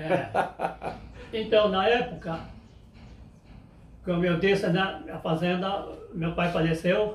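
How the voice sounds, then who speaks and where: Speaking very slowly with long, frequent pauses, a man uses a high pitch and fairly even intonation, with audible room echo and noticeable background noise. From Brazil, interior of São Paulo state (Pardinho). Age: 80s+. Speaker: elderly interviewee recalling farm life. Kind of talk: oral history interview. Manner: halting, with frequent repetitions.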